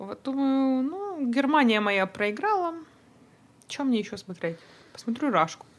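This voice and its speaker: A woman speaks at a fairly slow pace with a high pitch and very wide pitch swings, leaving long, frequent pauses amid noticeable background noise. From Odesa, Ukraine, then Toronto from age 12. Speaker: dental worker and photographer. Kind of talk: casual chat.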